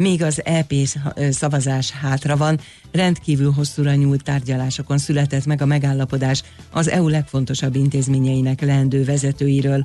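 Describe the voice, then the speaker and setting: Here a man speaks in a monotone with flat intonation. His loudness stays very even. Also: fairly high pitch for a man, moderate pace. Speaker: newsreader. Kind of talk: news reading. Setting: radio studio.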